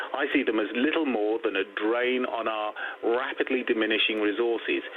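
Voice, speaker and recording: Over noticeable background noise, a man with a medium-pitched voice speaks with an English accent. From England. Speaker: caller. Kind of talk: heated debate. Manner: forceful.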